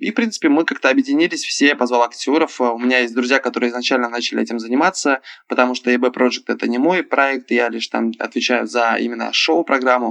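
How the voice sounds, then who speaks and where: With fairly even intonation, a man speaks at a very fast pace in a dry, close sound with no echo. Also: medium pitch for a man. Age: 20s. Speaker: club show performer and actor. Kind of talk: casual chat. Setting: phone call.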